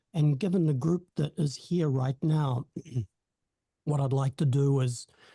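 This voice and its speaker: A man's fairly high, somewhat breathy voice with a dark, mellow tone, ordinary pitch variation and a fairly slow pace, dry and close with no echo. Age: 60s. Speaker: hypnotherapy company co-founder. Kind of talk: networking self-introduction. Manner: halting, many fillers.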